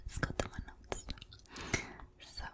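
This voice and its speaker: A woman is whispering. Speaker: language teaching creator. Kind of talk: soft ASMR tutorial chat. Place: home room. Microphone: studio mic.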